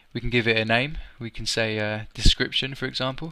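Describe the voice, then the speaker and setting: Here a man speaks at a medium pitch. His tone is bright and sharp, and his intonation is fairly even. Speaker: programming tutor. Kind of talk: tutorial. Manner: fast; casual with many fillers.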